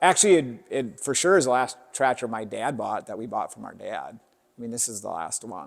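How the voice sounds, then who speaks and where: With an American accent, a man speaks at medium pitch and a moderate pace, his intonation lively and his voice showing vocal fry. His loudness rises and falls in big swings. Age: 60s. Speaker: farmer. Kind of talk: casual interview.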